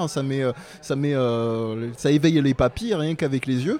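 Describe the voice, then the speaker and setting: At a moderate pace, a man talks in a fairly high pitch with a plain, everyday voice. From southern France. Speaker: podcast co-host. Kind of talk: casual chat.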